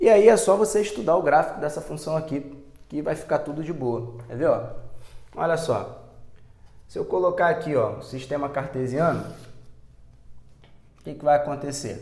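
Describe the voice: Putting on a hoarse character voice, a man speaks at a moderate pace and a fairly high pitch. His loudness swings widely, and he leaves long, frequent pauses.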